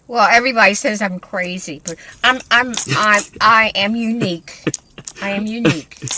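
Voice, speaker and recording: A woman speaks at a fairly high pitch with an American accent. Her pace is moderate and her pitch variation ordinary, with noticeable background noise. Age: 80s+. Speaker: retired family elder. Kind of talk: interview. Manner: halting, repeats words.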